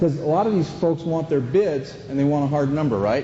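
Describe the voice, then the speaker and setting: A man's fairly high voice at a moderate pace, with noticeable background noise. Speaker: flooring installation trainer. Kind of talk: training seminar. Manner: loud; animated.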